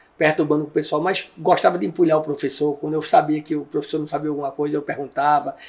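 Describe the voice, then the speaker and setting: Talking at a very fast pace, a man uses a fairly high pitch with monotone, flat intonation. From Brazil, Recife (Pernambuco). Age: 60s. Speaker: investigative journalist. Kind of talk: interview.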